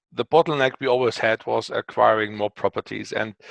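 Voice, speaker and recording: Over a quiet background, a man with a German accent speaks at medium pitch with a dry, close sound and no echo. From Germany. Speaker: company co-founder and CEO. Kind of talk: interview. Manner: hesitant, many fillers.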